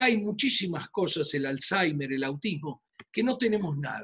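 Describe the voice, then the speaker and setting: A man with an Argentine accent speaks at a fairly slow pace with very wide pitch swings. The background is quiet. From Argentina, Buenos Aires. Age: 60s. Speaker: physician. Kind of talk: presentation. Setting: video call. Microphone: video call.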